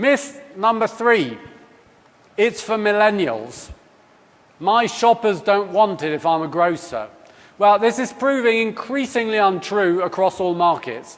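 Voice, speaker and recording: A man speaks with a British accent at a high pitch, his intonation lively. Noticeable background noise can be heard. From UK. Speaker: company executive. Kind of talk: conference keynote talk.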